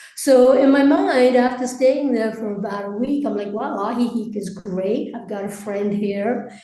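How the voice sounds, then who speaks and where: A woman's fairly high voice with fairly even intonation, amid noticeable background noise and audible room echo. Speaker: expat interviewee. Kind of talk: interview.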